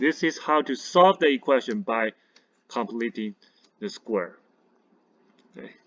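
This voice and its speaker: A man speaks at a medium pitch and a fairly slow pace, with long, frequent pauses. His pitch swings very widely and his loudness varies a lot. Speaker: math teacher. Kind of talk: tutorial.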